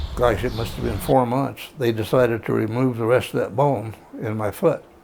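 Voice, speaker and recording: Against noticeable background noise, a man talks at a moderate pace in a medium pitch with ordinary pitch variation. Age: 80s+. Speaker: amputee and bluegrass guitarist. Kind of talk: casual interview storytelling. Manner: halting, with frequent fillers.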